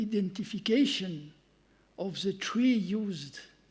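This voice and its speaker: With a French accent, a man speaks very slowly at a high pitch, his pitch varying in an ordinary way. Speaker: conference speaker, researcher. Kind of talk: conference talk. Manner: halting.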